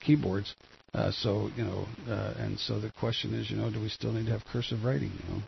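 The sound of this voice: A gravelly voice with vocal fry and a husky, rough edge moves at a fairly quick pace with fairly even intonation. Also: man, fairly low pitch for a man.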